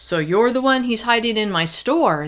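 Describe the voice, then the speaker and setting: A put-on character voice growls at a fairly high pitch. The delivery moves at a moderate pace. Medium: read story.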